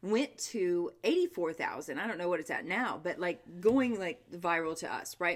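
A woman talks at a moderate pace with lively intonation. She leaves hardly any pauses. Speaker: podcast host. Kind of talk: casual chat. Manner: animated, joking.

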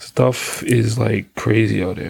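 A man with a Bahamian accent speaks with vocal fry. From Bahamas. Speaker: podcaster. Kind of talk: casual monologue. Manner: halting, stutters often.

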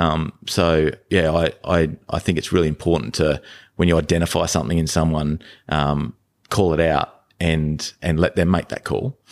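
A man in an Australian accent, very deep and low-pitched, with a dry, close sound with no echo and a very clean recording over a silent background. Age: 40s. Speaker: podcast guest, father of three. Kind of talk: casual interview chat. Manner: halting, many repetitions and fillers.

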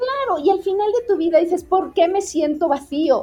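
The speaker is female. Her pace is moderate. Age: 50s. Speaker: designer and mentor. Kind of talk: interview. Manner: animated.

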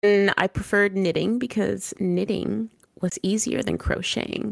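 A woman talks at a fairly slow pace with a medium pitch. She has a plain, everyday voice. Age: 30s. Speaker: streamer and mother. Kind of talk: interview.

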